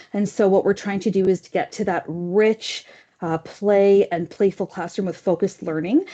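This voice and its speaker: Dark, mellow female voice with fairly even intonation at a fairly quick pace, against a quiet background. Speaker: kindergarten program staff in school board. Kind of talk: presentation at board meeting. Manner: fast.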